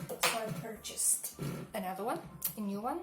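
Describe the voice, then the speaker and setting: Amid noticeable background noise and audible room echo, a woman with a non-native accent speaks at a fairly high pitch. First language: not English. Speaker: makeup vlogger, hotel receptionist. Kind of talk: makeup tutorial. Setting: home kitchen. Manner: halting.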